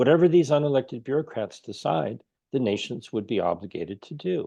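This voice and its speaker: With an American accent, a man speaks in a dark, mellow tone and lively intonation. The background is quiet. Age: 60s. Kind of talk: interview. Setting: video call.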